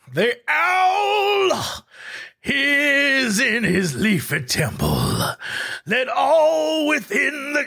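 In a put-on character voice, the speaker projects loudly at a very slow pace. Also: man, extremely high pitch for a man. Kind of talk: ritual, formal. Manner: solemn, ceremonial.

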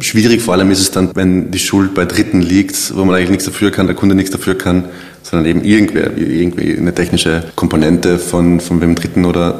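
A man's very deep, low voice in a monotone, flat intonation at a fairly quick pace, over noticeable background noise. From South Tyrol. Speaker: web designer and agency founder. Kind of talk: casual interview.

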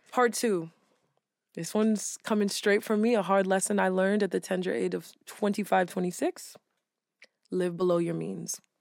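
Speaking at a moderate pace with fairly even intonation, a woman with an unremarkable speaking voice sits at medium pitch on a very clean recording with a silent background. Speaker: podcast co-host. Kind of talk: casual chat.

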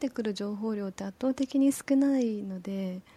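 This woman is soft-spoken, with a calm tone. She keeps a moderate pace. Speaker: community manager. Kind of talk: casual chat. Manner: calm, soft tone.

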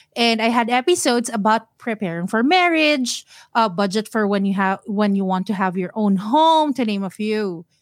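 Speaking at a moderate pace with hardly any pauses, a woman with a fairly high pitch and lively intonation comes through in a very clean recording with a silent background. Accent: Filipino. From Philippines, Manila (Mandaluyong). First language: Tagalog. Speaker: personal finance podcaster. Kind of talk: casual interview.

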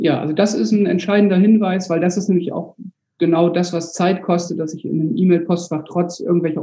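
At a fairly quick pace, a man with a fairly high pitch speaks in a plain, everyday voice, his intonation fairly even. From Bremen, northern Germany. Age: 40s. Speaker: school administrator and landlord. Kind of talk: casual chat.

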